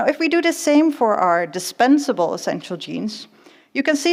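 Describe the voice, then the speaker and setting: This woman talks at a fairly quick pace. Her pitch swings very widely. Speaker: yeast geneticist, conference speaker. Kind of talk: lecture. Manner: fast.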